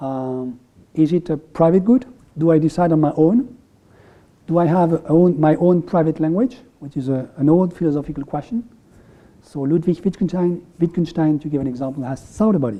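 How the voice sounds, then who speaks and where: Speaking at a moderate pace, a man with a French accent has a fairly high pitch and a dark, mellow tone. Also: ordinary pitch variation. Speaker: economist. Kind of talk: lecture. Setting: room with audience. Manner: halting.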